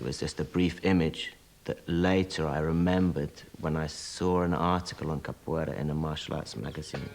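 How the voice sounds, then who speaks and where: Music plays in the background. A man with a very deep, low pitch speaks at a moderate pace. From Britain, of Nigerian birth. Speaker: capoeira master and teacher. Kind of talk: documentary interview answer.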